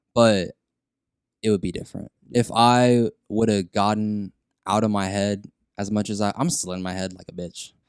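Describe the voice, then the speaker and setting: With an American accent, a man speaks at a moderate pace in a fairly low pitch and an ordinary speaking voice, his intonation fairly even, the sound dry and close with no echo against a quiet background. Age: 20s. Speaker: audio engineer and rapper. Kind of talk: casual chat.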